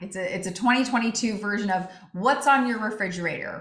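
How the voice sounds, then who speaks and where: A woman's ordinary pitch variation comes through amid audible room echo. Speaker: LinkedIn expert giving a webinar. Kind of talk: webinar presentation.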